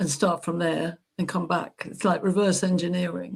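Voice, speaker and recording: This woman's voice carries vocal fry. She talks at a moderate pace. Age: 70s. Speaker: panel guest on live stream. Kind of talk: casual discussion.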